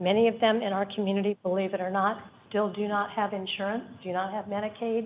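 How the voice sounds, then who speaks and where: Noticeable background noise sits behind a woman at a medium pitch. Her intonation is monotone and flat, her pace moderate. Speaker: public commenter, community health worker. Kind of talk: public comment at board meeting.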